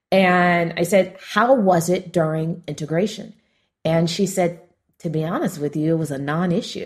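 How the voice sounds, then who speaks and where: With an American accent, a woman talks at a moderate pace in a fairly low, somewhat breathy voice with ordinary pitch variation. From Los Angeles, US. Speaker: entrepreneur and author. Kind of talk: interview, storytelling.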